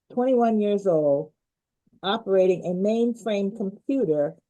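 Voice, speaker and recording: Her tone is dark and mellow, her pitch medium for a woman. This woman speaks at a moderate pace with lively intonation. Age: 70s. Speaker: leadership expert. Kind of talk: interview.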